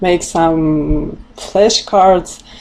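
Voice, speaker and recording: A woman with a Russian accent amid noticeable background noise. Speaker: language teacher. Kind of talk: tutorial. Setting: livestream. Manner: halting.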